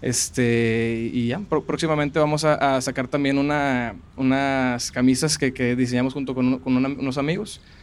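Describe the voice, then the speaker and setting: This man has a plain, everyday voice at medium pitch. He speaks at a moderate pace with fairly even intonation and hardly any pauses. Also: very clean recording, silent background. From Monterrey, Mexico. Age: 20s. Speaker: food content creator. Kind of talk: interview. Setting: outdoors in a park.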